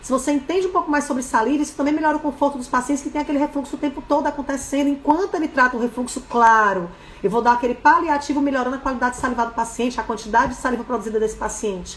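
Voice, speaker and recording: There is noticeable background noise as a woman speaks at a very fast pace. Her voice is high-pitched and her tone animated. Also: ordinary pitch variation, hardly any pauses. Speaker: dentist and course instructor. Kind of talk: live webinar lecture.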